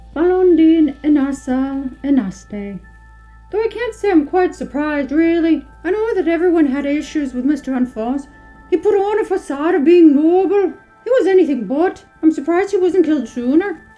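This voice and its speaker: A put-on character voice, high-pitched and at a moderate pace, over faint background music. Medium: audio drama. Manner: aloof, measured.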